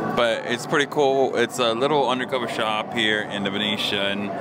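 Loud background noise fills the clip, though the sound is dry with no echo. A man talks at a moderate pace. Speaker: vlogger. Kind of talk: casual vlog chat. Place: cafe. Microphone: lapel.

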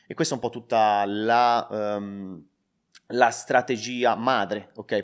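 On a very clean recording against a silent background, a man talks. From Tuscany, Prato. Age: 20s. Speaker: online entrepreneur, crypto YouTuber. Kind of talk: interview, explaining a business method.

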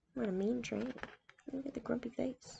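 A woman speaks at a moderate pace with a fairly high pitch and fairly even intonation. Her tone is dark and mellow, with vocal fry and a husky, rough edge.

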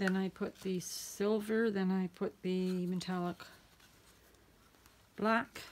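A woman talks quietly at a very slow pace, her pitch varying in an ordinary way. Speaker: acrylic pouring artist. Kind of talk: tutorial. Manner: quiet, talks to herself; halting, repeats words.

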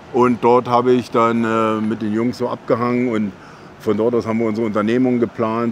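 This man has a plain, everyday voice at a medium pitch, with fairly even intonation and a moderate pace. The sound is dry with no echo, and there is light background noise. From Berlin. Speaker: professional bodybuilder and channel host; channel host. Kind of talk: casual chat. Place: street.

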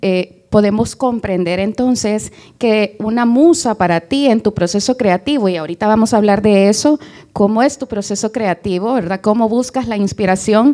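The voice has a dark, mellow tone, ordinary pitch variation and a moderate pace over a quiet background. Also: woman, fairly high pitch for a woman. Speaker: interviewer, event moderator. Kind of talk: interview. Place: stage. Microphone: handheld.

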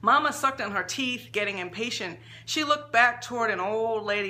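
Natural-sounding reading voice

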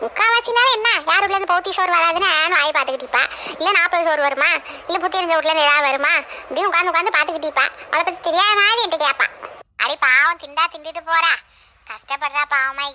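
Using a cartoonish character voice, a woman speaks at an extremely high pitch. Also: fairly quick pace, lively intonation. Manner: brash, scolding.

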